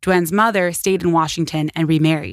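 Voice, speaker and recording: A woman speaks at a moderate pace in a normal speaking voice. Her pitch sits fairly low. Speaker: podcast host. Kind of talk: true-crime narration. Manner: measured, earnest storytelling; empathetic, conversational asides.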